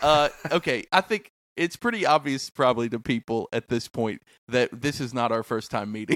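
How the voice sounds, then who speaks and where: A man talks at a moderate pace in a medium pitch, with ordinary pitch variation and an unremarkable speaking voice. The recording is very clean and dry, close with no echo, over a silent background. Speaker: podcast host. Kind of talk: casual interview chat.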